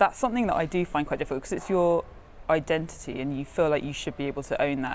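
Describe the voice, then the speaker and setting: A woman speaks at a very fast pace with lively intonation. Her pitch is very deep and low. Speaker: news producer with a stammer. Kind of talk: interview. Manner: halting.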